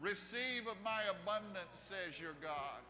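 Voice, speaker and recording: Over clear background music, a man in a raised, projected voice speaks at a very slow pace with ordinary pitch variation. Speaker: preacher. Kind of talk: prophetic declaration in worship. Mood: intense, reverent, eyes closed. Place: church. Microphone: lapel.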